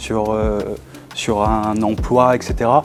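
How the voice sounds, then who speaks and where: A man is speaking. Music plays in the background. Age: 30s. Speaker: business founder, former student. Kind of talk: interview testimony. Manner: halting, many hesitations.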